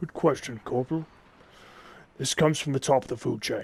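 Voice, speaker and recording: A put-on character voice from a man, at medium pitch. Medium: machinima. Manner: authoritative, measured.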